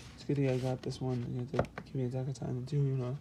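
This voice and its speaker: A man's medium-pitched voice with a dark, mellow tone and monotone, flat intonation. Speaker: gaming YouTuber. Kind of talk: casual talk to camera.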